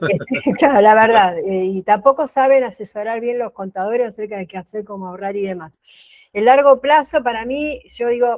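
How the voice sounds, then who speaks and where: A woman's plain, everyday voice, fairly high in pitch, with lively intonation at a moderate pace. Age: 60s. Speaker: workshop participant. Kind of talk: casual chat.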